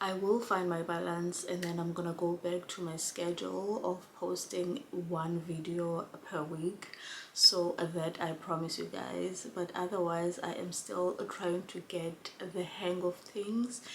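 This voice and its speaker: A woman talks fairly slowly at a fairly low pitch, with fairly even intonation. Noticeable background noise runs behind her. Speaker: vlogger and care worker. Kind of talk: casual vlog chat.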